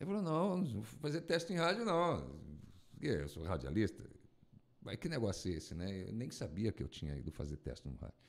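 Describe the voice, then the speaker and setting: His voice is fairly low and shows vocal fry. This man's pitch swings very widely. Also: moderate pace. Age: 50s. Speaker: radio announcer and broadcasting teacher; radio announcer, broadcasting teacher. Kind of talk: casual chat. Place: studio. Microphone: studio mic.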